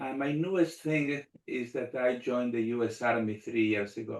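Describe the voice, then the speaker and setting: With a Spanish accent, a man talks at a moderate pace in a medium pitch with ordinary pitch variation. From Argentina. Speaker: rabbi and army chaplain. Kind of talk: panel discussion.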